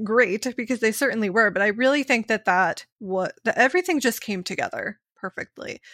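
A woman with an American accent talks at a fairly quick pace in a fairly high, bright, sharp tone with lively intonation. The recording is very clean with a silent background and a dry, close sound with no echo. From US, Pittsburgh. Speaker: voice actor. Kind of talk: casual chat. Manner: fast talker.

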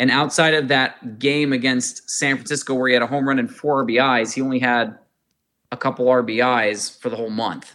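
The tone is bright and sharp, with fairly even intonation. The pace is moderate. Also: man, medium pitch for a man. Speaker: podcast host. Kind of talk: casual sports podcast discussion. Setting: remote recording, hosts in different cities.

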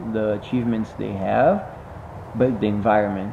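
Noticeable background noise sits behind a man talking at medium pitch with ordinary pitch variation. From Brazil, Rio de Janeiro. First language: Portuguese. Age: 20s. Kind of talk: casual interview. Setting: recorded in a jiu-jitsu gym.

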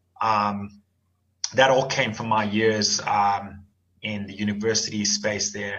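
A man talks very slowly in a fairly low voice. His intonation is flat and monotone. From Nigeria, raised in Swaziland and South Africa. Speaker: fintech founder and former bank executive. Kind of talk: interview. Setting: remote call.

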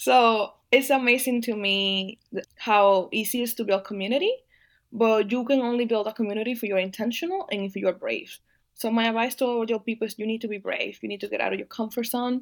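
In a Spanish accent, a woman with fairly high pitch and ordinary pitch variation talks at a fairly quick pace on a very clean recording with a silent background. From Dominican Republic. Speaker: agricultural policy advocate. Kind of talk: interview.

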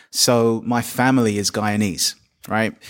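A man with a London accent speaks at a medium pitch. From London, England. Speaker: poet and teacher. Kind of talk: panel discussion; poetry reading. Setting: live event venue.

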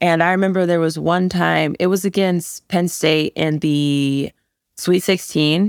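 An unremarkable speaking voice moves at a fairly slow pace with fairly even intonation. The recording is very clean with a silent background, giving a dry, close sound with no echo. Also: woman. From US Midwest and South, moved often. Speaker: college volleyball player. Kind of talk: casual interview.

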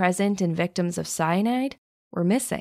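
A woman speaks in a normal speaking voice at a medium pitch, moving at a moderate pace with lively intonation. The recording is very clean, with a silent background. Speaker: true crime podcast host. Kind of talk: true-crime narration. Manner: measured, storytelling tone.

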